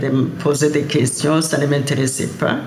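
Audible room echo and noticeable background noise surround the recording. A woman speaks in a very deep, low pitch. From Great Lakes Africa. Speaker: elder interviewee. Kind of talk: testimony.

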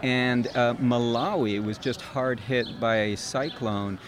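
Over noticeable background noise, a man talks at medium pitch with fairly even intonation. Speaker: nonprofit founder. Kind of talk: interview. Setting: outdoors.

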